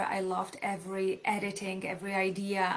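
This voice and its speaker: A woman speaks at medium pitch with a Czech accent. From Czech Republic, small city near Polish border. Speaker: author. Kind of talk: live stream talk. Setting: live video stream.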